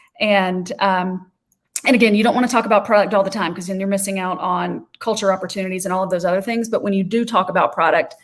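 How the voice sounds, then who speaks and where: Very fast and monotone, a woman speaks with flat intonation at a medium pitch. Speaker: social media trainer. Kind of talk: webinar presentation.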